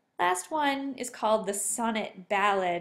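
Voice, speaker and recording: Here is a woman with an ordinary speaking voice at medium pitch. Her pitch variation is ordinary. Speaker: teacher. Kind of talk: tutorial.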